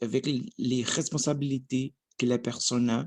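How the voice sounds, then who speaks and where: In a Portuguese accent, a man speaks at medium pitch with fairly even intonation. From Brazil. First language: Portuguese (speaking French). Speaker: language learner vlogger. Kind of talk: language practice monologue. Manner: halting.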